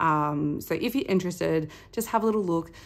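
With an Australian accent, a woman speaks at a moderate pace in a fairly low pitch with ordinary pitch variation. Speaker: budgeting vlogger, stay-at-home mum. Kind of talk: casual vlog monologue. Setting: home recording. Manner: chatty, rambling with many fillers. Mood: relaxed, chatty.

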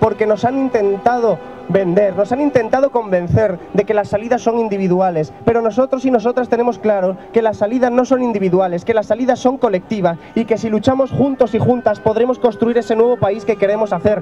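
Faint music plays in the background as a man with a high pitch talks at a fairly quick pace, with hardly any pauses, ordinary pitch variation and very even loudness. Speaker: political candidate addressing a crowd. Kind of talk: political rally speech. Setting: outdoors, public square, crowd. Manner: impassioned, emphatic, improvised. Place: street. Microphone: handheld.

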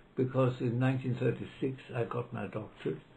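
A man talks at a moderate pace with vocal fry. Light background noise can be heard. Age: 90s. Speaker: law professor. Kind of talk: interview reminiscence; interview answer, reminiscence. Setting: library. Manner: halting.

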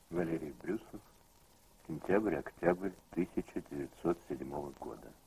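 A man speaks very slowly in a very deep, low voice with vocal fry, a dark, mellow tone and ordinary pitch variation. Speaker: narrator. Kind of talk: scripted narration. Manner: formal, measured, solemn.

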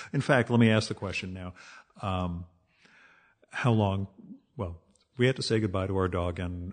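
With an American accent, a man speaks in a very deep, low voice at a fairly quick pace with fairly even intonation. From New Jersey, US. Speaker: podcast host. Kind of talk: casual interview.

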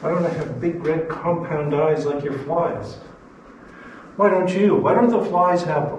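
Against light background noise and audible room echo, a man speaks at a high pitch and a fairly slow pace with ordinary pitch variation. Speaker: biology professor. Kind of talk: lecture. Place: classroom. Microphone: camera far.

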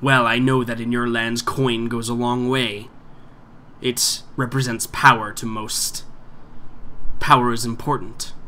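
A hissing put-on character voice at a fairly slow pace, with long, frequent pauses and clear background noise. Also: man, medium pitch for a man. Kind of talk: fantasy villain acting. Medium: actual play. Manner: haughty, menacing, smugly reasoning.

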